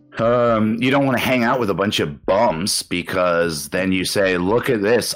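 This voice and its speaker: An ordinary speaking voice moves at a moderate pace with lively intonation. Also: man, very even loudness. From Canada. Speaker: podcast guest, former heavy drinker living abroad. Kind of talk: casual chat.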